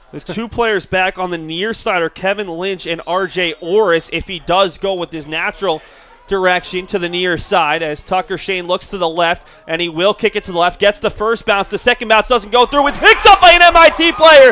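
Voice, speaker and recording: This man speaks with a raised, projected voice. His pitch is high and his pace fairly quick. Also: ordinary pitch variation. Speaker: sports play-by-play broadcaster. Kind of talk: live football play-by-play commentary. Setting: broadcast booth.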